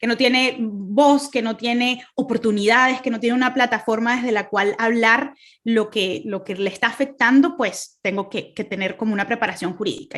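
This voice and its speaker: A woman with a Venezuelan accent speaks at a fairly high pitch with ordinary pitch variation against a quiet background. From Venezuela, Caracas. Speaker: speaker, human rights lawyer. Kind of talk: testimony talk. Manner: hesitant, many fillers.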